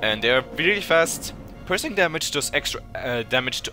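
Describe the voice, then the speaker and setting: A man speaks with music playing in the background. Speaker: gaming tutorial creator. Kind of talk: tutorial. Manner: fast; halting.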